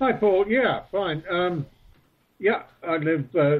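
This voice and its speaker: A man with a Falkland Islands accent, very slow pace, and lively intonation. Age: 60s. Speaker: retired sheep farmer and marine police officer. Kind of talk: interview.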